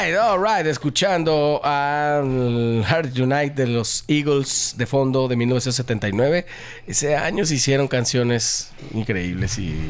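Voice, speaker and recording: A man's medium-pitched voice at a very slow pace, with lively intonation and very even loudness. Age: 40s. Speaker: radio host and band member. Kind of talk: live radio chat. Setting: radio studio.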